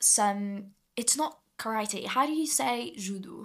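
A woman's voice in a very clean recording with a silent background. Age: young adult, 18. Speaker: drama school student. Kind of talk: casual chat. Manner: halting.

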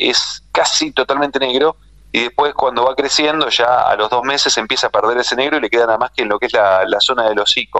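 Talking at a fairly quick pace, a man has an ordinary speaking voice, medium pitch and ordinary pitch variation. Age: 40s. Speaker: livestock journalist. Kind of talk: radio interview.

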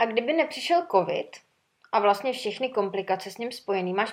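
A woman speaks with a fairly high pitch in a plain, everyday voice. Her pace is fairly quick and her intonation lively. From Czechia, Sokolov. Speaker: podcast host, former flight attendant. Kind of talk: casual chat.

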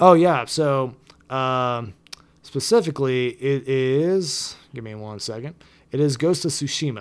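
With a plain, everyday voice, a man talks at a fairly slow pace and a medium pitch, with ordinary pitch variation. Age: 20s. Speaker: podcast co-host. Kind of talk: casual chat.

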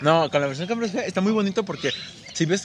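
Noticeable background noise accompanies a man whose pitch swings very widely. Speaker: podcast co-host. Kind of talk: casual chat.

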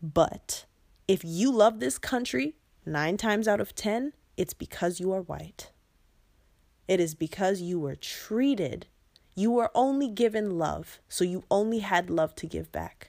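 An animated tone with lively intonation at a fairly slow pace. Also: woman, medium pitch for a woman. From United States. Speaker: podcast host. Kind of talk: impassioned monologue.

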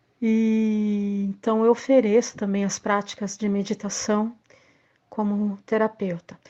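A woman's dark, mellow voice, fairly high in pitch, very slow and monotone with flat intonation, against a quiet background. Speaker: actress and arts teacher. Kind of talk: recorded testimony.

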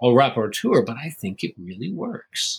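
A man speaks at a medium pitch with lively intonation. His somewhat breathy voice keeps a moderate pace. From US. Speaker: theatre maker and writer. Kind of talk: interview.

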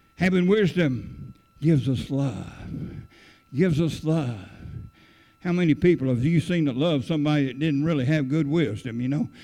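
At a moderate pace, a man with a fairly high pitch and a dark, mellow tone speaks with ordinary pitch variation. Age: 70s. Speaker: pastor. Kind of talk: sermon. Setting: church. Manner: halting.

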